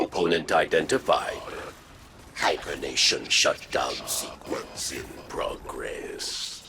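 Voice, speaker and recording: A man's put-on character voice at an extremely high pitch, delivered at a very slow pace. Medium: video game. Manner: flat, terse.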